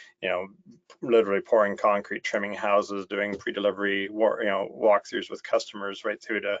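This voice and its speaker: A man with a Canadian accent speaks at a fairly quick pace. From Ontario, Canada. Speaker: software company director of operations. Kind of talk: webinar interview.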